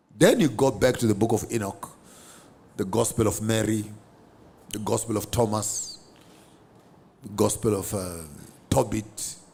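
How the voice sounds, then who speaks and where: A man with a Zimbabwean accent speaks at a moderate pace, leaving long, frequent pauses. His somewhat breathy voice has a dark, mellow tone and fairly even intonation. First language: Shona. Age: 50s. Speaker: theologian. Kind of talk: interview.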